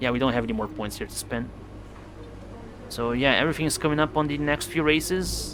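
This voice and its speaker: A man with a non-native accent talks at a very fast pace, broken by long, frequent pauses. Noticeable background noise runs under his voice. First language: not English. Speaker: video game streamer. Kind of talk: live gameplay commentary. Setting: live stream. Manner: casual, with frequent fillers.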